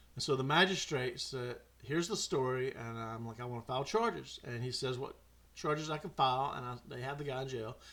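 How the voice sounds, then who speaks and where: A man with a Mississippi accent, a bright, sharp tone, a fairly quick pace and ordinary pitch variation. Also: medium pitch for a man. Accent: Southern US (Mississippi). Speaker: podcast host. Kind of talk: storytelling monologue. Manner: animated.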